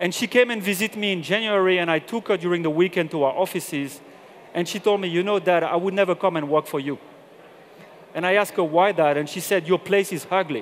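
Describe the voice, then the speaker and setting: A man speaks at a very fast pace with a French accent and a high pitch. His pitch variation is ordinary, and light background noise is present. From southern France. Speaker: corporate general manager; presenter. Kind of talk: conference talk. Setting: stage with audience. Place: stage. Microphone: headset.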